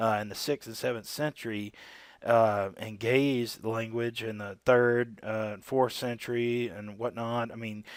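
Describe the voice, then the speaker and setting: On a very clean recording with a silent background, a man at a medium pitch speaks fairly slowly in a monotone, flat intonation while his loudness swings widely. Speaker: religious video creator. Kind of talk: solo video commentary on scripture. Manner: casual, with many fillers.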